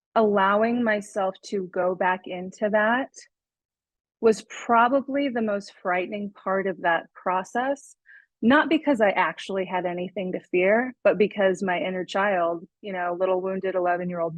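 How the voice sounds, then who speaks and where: This is a plain, everyday voice at a moderate pace. Pitch varies in an ordinary way. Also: woman. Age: 30s. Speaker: podcast guest sharing personal story. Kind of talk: interview testimony.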